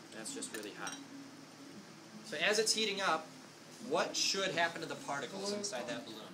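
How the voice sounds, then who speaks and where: A man's high, raised, projected voice at a fairly quick pace, with long, frequent pauses, very wide pitch swings and big swings in loudness, over noticeable background noise. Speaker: student teacher. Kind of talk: classroom science demonstration.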